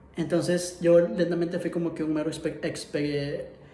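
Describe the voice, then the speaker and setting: The man's voice is high-pitched. He keeps a moderate pace. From Ecuador. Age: 20s. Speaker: illustrator and filmmaker. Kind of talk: personal story told to camera.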